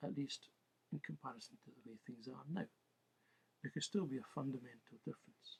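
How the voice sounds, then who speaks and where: The speech moves at a fairly quick pace with lively intonation, long and frequent pauses, big swings in loudness and a somewhat breathy quality. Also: man, medium pitch for a man. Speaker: political commentator. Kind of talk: monologue. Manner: careful, halting.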